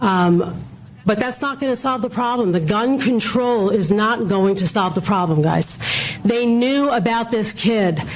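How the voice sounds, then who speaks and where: With an American accent, a woman with a fairly high pitch speaks at a fairly slow pace and very even loudness, against audible room echo and noticeable background noise. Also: ordinary pitch variation. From New York, Brooklyn. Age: old. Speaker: public commenter, medical professional. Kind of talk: public comment speech. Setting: council meeting hall. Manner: animated.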